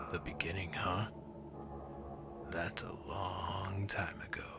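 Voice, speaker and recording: A man's put-on character voice, whispering, growling and gravelly, at a fairly slow pace over loud background noise. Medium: read story. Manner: calm, detached, sinister.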